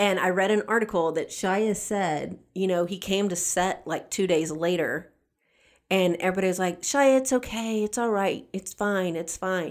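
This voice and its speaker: Here a woman speaks with a Southern US accent. Her pitch sits in the medium range. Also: ordinary pitch variation, moderate pace. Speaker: podcast co-host. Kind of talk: casual chat.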